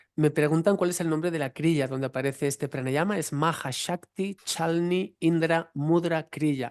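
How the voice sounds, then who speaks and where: A man with a Catalan accent, fairly high pitch, fairly slow pace, fairly even intonation, hardly any pauses, and a dry, close sound with no echo. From eastern Spain, Valencian region (Vinaròs). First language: Catalan (speaking Spanish). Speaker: yoga teacher and researcher. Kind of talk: online Q&A talk.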